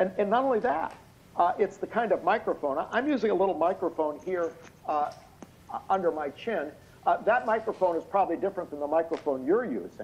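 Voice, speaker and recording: Loud and fairly quick, a man talks in a high voice with lively intonation. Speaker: expert witness. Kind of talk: testimony. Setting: video call. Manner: halting.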